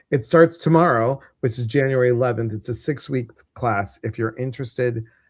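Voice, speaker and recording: Somewhat breathy, a man with an American accent speaks at a medium pitch and fairly quick pace with ordinary pitch variation, over a quiet background. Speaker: spiritual teacher and livestream host. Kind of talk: casual livestream chat. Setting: online livestream.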